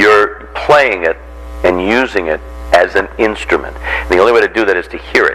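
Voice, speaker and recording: A man speaks with an American accent at a moderate pace. Noticeable background noise runs beneath him. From Boston area, Massachusetts. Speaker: radio talk show host and voiceover actor. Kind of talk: lecture. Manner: animated.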